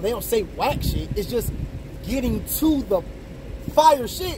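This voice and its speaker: The intonation is lively, and the sound is dry with no echo. Noticeable background noise runs underneath. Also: man. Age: 30s. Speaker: battle rapper. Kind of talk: casual chat. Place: car. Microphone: camera far.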